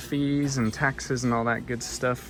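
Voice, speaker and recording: A man speaks over noticeable background noise. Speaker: thrift reseller vlogger. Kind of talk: casual vlog narration. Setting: thrift store. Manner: fast; animated.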